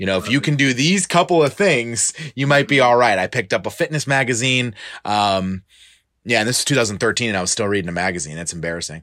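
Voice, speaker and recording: A man speaks at a very fast pace with a bright, sharp tone and an American accent. His pitch sits in the middle range and swings very widely. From Florida, Tampa Bay area. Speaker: fitness coach. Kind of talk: casual interview.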